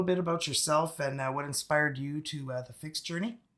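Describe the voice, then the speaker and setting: Here a man talks at a very fast pace with a French-Canadian accent. His pitch is fairly high. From Northern Ontario, Canada. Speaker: tarot channel host. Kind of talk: live interview. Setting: live video stream.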